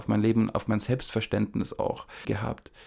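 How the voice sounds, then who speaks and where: Moderate pace from a man, in a very clean recording against a silent background. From Upper Franconia, Germany. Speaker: podcast co-host, screenwriting. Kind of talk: casual conversation.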